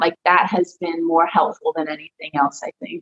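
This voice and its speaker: A woman with a Texan accent speaks at a fairly low pitch. The sound is dry and close, with no echo. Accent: Texan twang. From Texas, Dallas. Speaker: professional wrestler. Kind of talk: interview. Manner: casual, filler-heavy.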